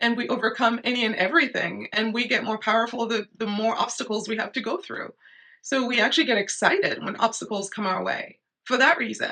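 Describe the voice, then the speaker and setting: A woman's fairly high, bright and sharp voice with vocal fry, ordinary pitch variation and a fairly quick pace. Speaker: astrologer. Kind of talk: casual talk to camera. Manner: animated.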